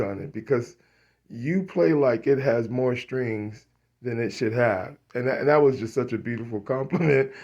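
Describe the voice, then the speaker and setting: Fairly slow speech from a man, medium in pitch. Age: 60s. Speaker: musician and studio owner. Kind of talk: casual vlog monologue. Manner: halting, many fillers and repetitions.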